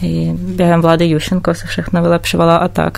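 A woman talks at a fairly slow pace. Noticeable background noise runs behind her. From Ukraine, Odesa. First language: Ukrainian or Russian (speaking Czech). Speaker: visual artist. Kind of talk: interview.

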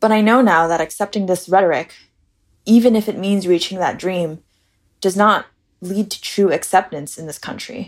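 A woman with an American accent and a plain, everyday voice speaks at a moderate pace with a medium pitch. Her pitch variation is ordinary, and the recording is very clean with a silent background. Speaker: administrative coordinator sharing personal story. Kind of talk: personal essay read aloud.

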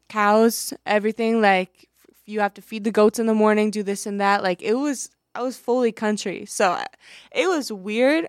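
A woman at a medium pitch talks at a moderate pace with ordinary pitch variation, in a very clean recording, silent background with a dry, close sound and no echo. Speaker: college radio co-host. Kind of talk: casual chat. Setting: studio. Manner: animated.

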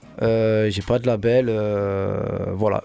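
A man with a medium pitch talks in monotone, flat intonation. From Marseille, 15th district. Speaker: rapper. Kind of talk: radio interview.

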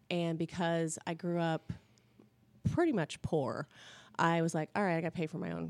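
Speaking with a US Midwestern accent, a woman has a very deep, low pitch and monotone, flat intonation at a moderate pace, in a very clean recording with a silent background. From Indiana, Indianapolis area. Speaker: blogger and mom. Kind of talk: casual interview. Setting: studio.

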